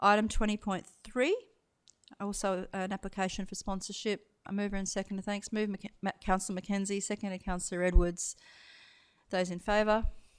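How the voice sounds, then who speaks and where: Speaking at a fairly quick pace, a woman with a medium pitch and an Australian accent keeps a monotone, flat intonation. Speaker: council meeting chair. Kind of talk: formal meeting procedure. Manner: fast.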